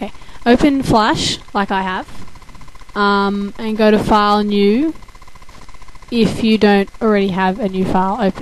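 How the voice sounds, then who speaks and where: A woman of medium pitch speaks at a fairly slow pace, with long, frequent pauses. Her intonation is fairly even, and noticeable background noise is present. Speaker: animation tutorial maker. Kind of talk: casual software tutorial narration. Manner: casual, hesitant, with fillers.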